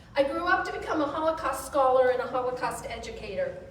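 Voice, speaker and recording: A woman speaks loudly at a high pitch. Audible room echo surrounds her voice. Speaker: service leader and Holocaust educator. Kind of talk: speech at a religious service. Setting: synagogue service with audience and mic.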